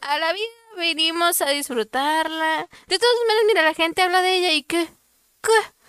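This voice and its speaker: A bright, sharp tone at a moderate pace, with ordinary pitch variation and a dry, close sound with no echo. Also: woman, extremely high pitch for a woman. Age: 20s. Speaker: podcast co-host. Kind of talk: casual chat.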